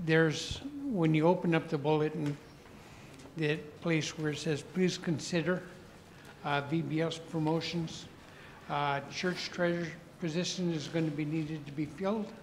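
A man speaks at a moderate pace in a monotone, flat intonation. Long, frequent pauses break up his speech over light background noise. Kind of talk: church announcements. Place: church. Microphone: handheld.

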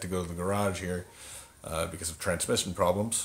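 A man talks in a very deep, low voice with monotone, flat intonation. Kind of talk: casual vlog chat. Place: home room. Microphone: phone near.

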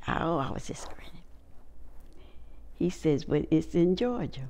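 With a North Carolina accent, a woman speaks at a fairly slow pace in a very deep, low pitch with vocal fry. Her pitch varies in an ordinary way. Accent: Southern US, North Carolina. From Wake Forest, North Carolina. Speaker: oral history interviewee. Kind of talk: oral history interview answer. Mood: warm, reminiscing. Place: home room.

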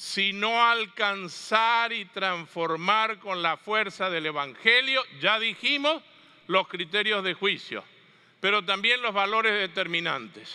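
A man with a high pitch raises and projects his bright, sharp voice at a very slow pace, using ordinary pitch variation over a quiet background. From Argentina (Mendoza); Argentina. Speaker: catechetics speaker; speaker. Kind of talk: conference talk. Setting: stage with audience. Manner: animated. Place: hall.

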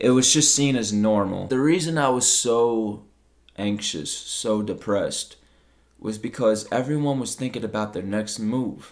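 The speaker moves at a fairly slow pace with ordinary pitch variation. The background is quiet. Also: man, medium pitch for a man. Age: 20s. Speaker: YouTuber and streamer; YouTuber, streamer. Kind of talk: personal testimony monologue. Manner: emotional, unscripted. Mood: reflective, vulnerable. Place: home room.

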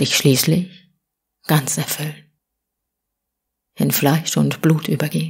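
A woman with a gentle tone and a somewhat breathy voice speaks at a very slow pace in a very deep, low pitch. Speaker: audiobook reader. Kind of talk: spiritual poetry reading, short audiobook. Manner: soft, whispery, gentle.

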